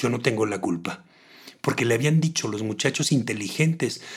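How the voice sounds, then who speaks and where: Moving at a moderate pace, the lively intonation comes in a somewhat breathy voice. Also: man. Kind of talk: literary audiobook reading of a short story, narrated in a dramatic, expressive way.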